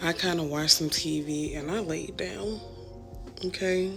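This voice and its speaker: A woman with a fairly low pitch speaks at a fairly slow pace with fairly even intonation. Music plays in the background. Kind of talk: casual vlog talk to camera.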